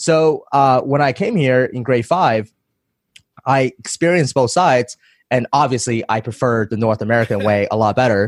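A man's medium-pitched voice at a moderate pace with ordinary pitch variation, a dry, close sound with no echo, and a very clean recording with a silent background. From China, raised in Vancouver from age 10. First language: Chinese. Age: 20s. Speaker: entrepreneur and online course seller. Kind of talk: podcast interview.

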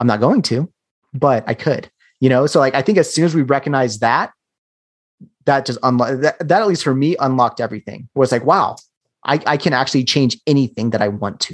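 Speaking in a plain, everyday voice, a man talks at a fairly quick pace with a medium pitch and ordinary pitch variation. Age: 30s. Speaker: digital marketing entrepreneur. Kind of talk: casual interview.

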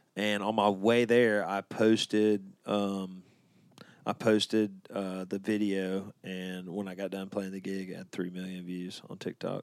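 On a very clean recording with a silent background, a man with an Alabama accent speaks fairly slowly at a fairly low pitch, his intonation monotone and flat. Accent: Alabama Southern US. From Birmingham, Alabama. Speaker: country singer. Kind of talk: casual chat.

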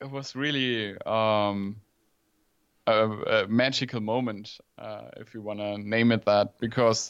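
A man's medium-pitched, monotone, flat voice at a very slow pace, with big swings in loudness and a Swabian accent. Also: quiet background. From southern Germany, near Stuttgart. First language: German. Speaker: journalist and podcaster. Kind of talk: casual interview chat. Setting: home office, remote call.

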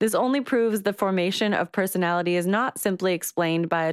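A woman with an unremarkable speaking voice at a medium pitch, fairly quick, with ordinary pitch variation and a dry, close sound with no echo. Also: very clean recording, silent background. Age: 30s. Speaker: podcast co-host. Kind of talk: reading aloud; casual chat.

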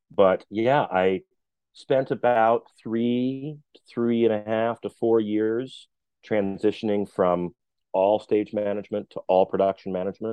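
A man with an unremarkable speaking voice talks at a fairly slow pace, fairly low in pitch, with ordinary pitch variation. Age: 40s. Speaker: theater production manager. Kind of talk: interview conversation.

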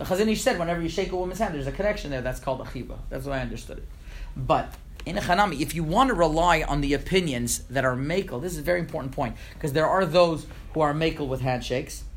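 Audible room echo surrounds a man speaking very fast at a fairly high pitch. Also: ordinary pitch variation. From Montreal, Canada. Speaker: rabbi. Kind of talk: lecture. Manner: halting, with frequent repetitions.

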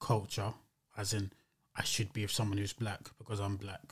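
Somewhat breathy, the man speaks with monotone, flat intonation. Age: 30s. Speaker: musician. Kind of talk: casual chat.

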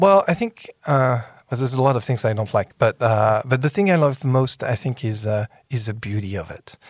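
A man with a French accent speaks at a medium pitch, his voice somewhat breathy and his intonation lively, on a very clean recording with a silent background. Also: fairly quick pace. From France. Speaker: podcast host and tech innovation executive. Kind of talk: interview. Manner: animated.

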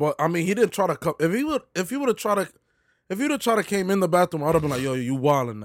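Over a very clean recording with a silent background and a dry, close sound with no echo, a man speaks at a very fast pace with a high pitch and very wide pitch swings. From New York City, the Bronx. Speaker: podcast co-host. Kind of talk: casual chat.

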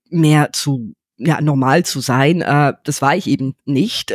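A very slow woman's voice with a very deep, low pitch and ordinary pitch variation, on a very clean recording with a silent background and a dry, close sound with no echo. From England, London. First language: English (speaking German). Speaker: entrepreneur. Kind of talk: interview. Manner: halting.

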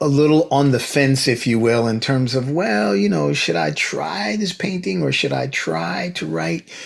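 This man has an ordinary speaking voice at a medium pitch, going at a fairly slow pace. The recording is very clean with a silent background. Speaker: podcast host. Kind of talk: interview, formal host. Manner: formal, warm.

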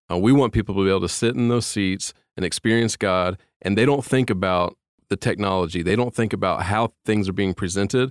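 A man with an American accent speaks fairly quickly in a plain, everyday voice at a fairly low pitch with ordinary pitch variation, on a very clean, dry, close recording with no echo and a silent background. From Indiana, US Midwest. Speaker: technical director at church. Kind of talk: casual interview.

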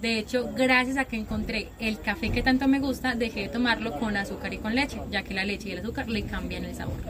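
Amid noticeable background noise, a woman with a Paisa accent talks fairly quickly at a fairly high pitch, with ordinary pitch variation and hardly any pauses. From Antioquia, Colombia. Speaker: coffee farm guide. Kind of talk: casual interview. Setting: outdoors on a coffee farm.

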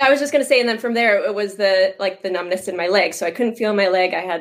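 A woman's medium-pitched voice in a Canadian Prairie accent, with ordinary pitch variation. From Canadian Prairies (Moose Jaw, Saskatchewan). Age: 30s. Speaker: online health and fitness coach. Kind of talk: casual interview.

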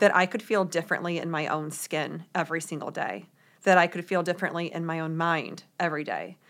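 A woman's fairly low, normal speaking voice with an American accent, fairly even intonation and a fairly quick pace, on a very clean recording with a silent background. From US Midwest, St. Louis, Missouri. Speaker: authenticity coach and author. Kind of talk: casual interview.

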